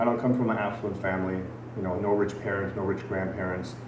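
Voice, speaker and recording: In an American accent, a man talks at a fairly quick pace with fairly even intonation, amid audible room echo and noticeable background noise. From Germany. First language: Farsi. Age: 40s. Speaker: gym owner. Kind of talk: podcast interview. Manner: conversational.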